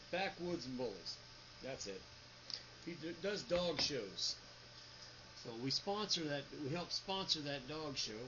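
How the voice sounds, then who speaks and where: Lively intonation from a man with a fairly high pitch at a fairly slow pace, with long, frequent pauses and noticeable background noise. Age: 50s. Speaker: 3D printing business owner. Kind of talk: casual vlog talk. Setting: home office. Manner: stutters at times.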